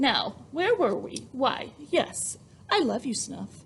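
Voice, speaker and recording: A woman's put-on character voice, gruff and high in pitch, at a very slow pace. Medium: read story. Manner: gruff, crackling.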